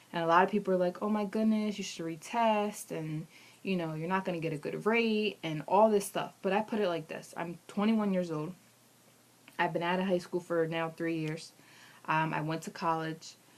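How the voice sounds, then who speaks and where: A woman speaks with an American accent. Her pitch is fairly low and her intonation fairly even. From Pennsylvania. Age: 20s. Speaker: vlogger, Navy applicant. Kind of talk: casual video diary. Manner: fast.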